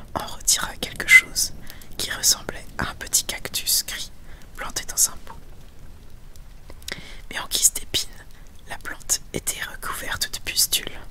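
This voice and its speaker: Someone whispers at a fairly slow pace with long, frequent pauses while noticeable background noise runs underneath. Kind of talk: audiobook reading. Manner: whispered.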